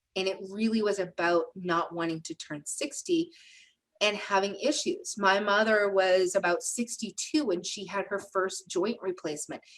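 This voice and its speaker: A woman with a plain, everyday voice speaks at a moderate pace, her pitch medium and its variation ordinary. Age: 50s. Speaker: wellness center co-host. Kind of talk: live webinar discussion. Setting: Zoom call streamed live on Facebook.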